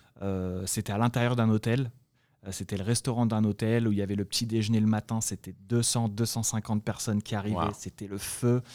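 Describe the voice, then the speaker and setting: In a dark, mellow tone, a man speaks with monotone, flat intonation, the sound dry and close with no echo. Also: fairly low pitch for a man, moderate pace, very clean recording, silent background. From France (Paris, then Guadeloupe from age 14). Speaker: e-commerce entrepreneur. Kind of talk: interview. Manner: halting with frequent repetitions.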